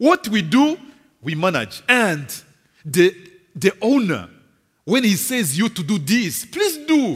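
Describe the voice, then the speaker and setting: Speaking fairly slowly, a man uses a high pitch. His pitch swings very widely. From DR Congo. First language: French. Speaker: visiting preacher. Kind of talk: sermon. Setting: church. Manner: halting.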